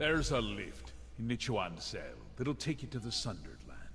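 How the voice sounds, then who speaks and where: A man puts on a gruff character voice at a moderate pace. Background noise is clearly audible. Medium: video game. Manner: gruff, curt.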